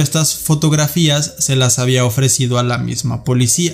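A man speaks at a fairly high pitch in a serious tone, with fairly even intonation and a moderate pace. Music plays in the background. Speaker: podcast host. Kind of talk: true-crime narration. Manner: measured, serious storytelling.

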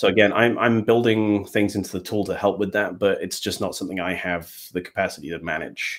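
Talking at a fairly quick pace with hardly any pauses, a man with an English Midlands accent uses a fairly low pitch and fairly even intonation. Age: 40s. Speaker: Power BI developer. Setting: live online stream from home, puppies nearby.

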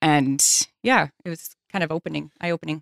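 A woman with a Newfoundland accent, very deep and low in pitch, at a moderate pace, in a dry, close recording with no echo, very clean with a silent background. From Newfoundland, Canada. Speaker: guest sharing recovery story. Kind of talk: casual interview. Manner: soft-spoken.

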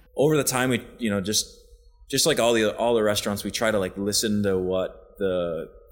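With music in the background, a man with an American accent and fairly low pitch speaks at a moderate pace with ordinary pitch variation. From US Midwest (western Wisconsin). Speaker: chef and restaurant partner. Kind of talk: casual interview. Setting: restaurant upstairs office.

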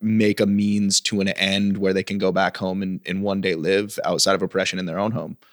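At a fairly quick pace, a man with an American accent speaks at a fairly low pitch, the sound dry and close with no echo in a very clean recording with a silent background. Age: 30s.

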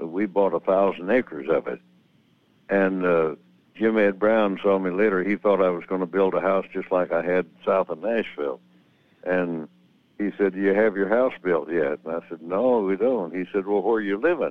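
Very deep and low in pitch, a man with an American accent speaks with ordinary pitch variation. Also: moderate pace. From Missouri. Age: 80s+. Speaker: country singer. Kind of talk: radio interview. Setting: phone call.

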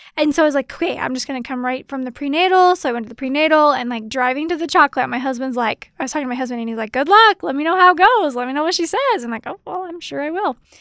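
A high-pitched woman's voice, animated in tone, at a very fast pace with hardly any pauses, in a dry, close sound with no echo. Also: lively intonation. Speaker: doula and educator, podcast co-host. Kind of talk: casual chat, anniversary episode. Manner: laughs often, animated.

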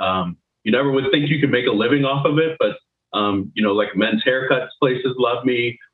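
A man speaks at medium pitch in a plain, everyday voice. His loudness stays very even, with ordinary pitch variation at a moderate pace. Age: 30s. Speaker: recruiter and crypto trader. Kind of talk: interview.

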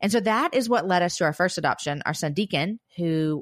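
An ordinary speaking voice from a woman, fairly low-pitched with lively intonation and a fairly quick pace, dry and close with no echo on a very clean recording with a silent background. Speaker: podcast host and author. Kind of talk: casual interview chat.

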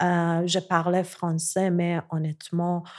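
A woman speaks on a very clean recording against a silent background. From Iran, Tehran. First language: Persian (speaking French). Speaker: visual artist. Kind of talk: interview conversation. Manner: halting.

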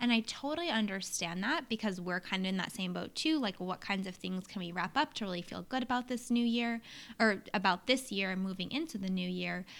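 Hardly pausing at all, a woman with an American accent and medium pitch talks at a fairly quick pace in a plain, everyday voice, recorded very cleanly with a silent background. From US Northeast, New Hampshire. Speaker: podcast co-host, entrepreneur. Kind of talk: casual chat. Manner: casual, filler-heavy.

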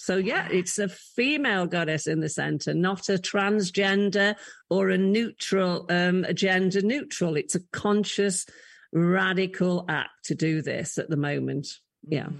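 A woman speaks with an English accent at medium pitch and ordinary pitch variation. Her loudness stays very even at a fairly slow pace against a quiet background. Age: 60s. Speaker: leadership coach and former college chief executive. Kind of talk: interview conversation.

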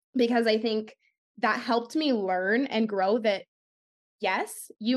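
A woman speaks with a Western US accent. Her fairly high voice has ordinary pitch variation. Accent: General American (western US). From California, San Jose then Arizona from age ten. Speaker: pageant titleholder and dance studio owner, arts advocate. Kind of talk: podcast interview.

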